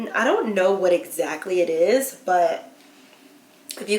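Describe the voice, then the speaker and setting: An animated voice with lively intonation speaks at a moderate pace amid noticeable background noise. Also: woman. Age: 20s. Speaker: beauty and lifestyle vlogger. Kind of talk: casual chat.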